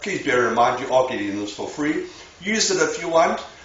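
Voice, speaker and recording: A man speaks fairly quickly, with audible room echo and noticeable background noise around him. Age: 60s. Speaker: bodybuilder. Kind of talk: tutorial. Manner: blunt and informal.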